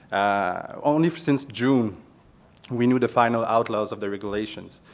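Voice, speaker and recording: A man with a Quebec accent speaks in a medium pitch with ordinary pitch variation. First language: French. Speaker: police officer. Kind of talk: conference presentation.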